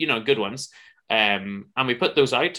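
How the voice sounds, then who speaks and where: A man with a Northern Irish accent speaks in a bright, sharp tone. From Northern Ireland. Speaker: podcaster and musician. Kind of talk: casual chat. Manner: halting.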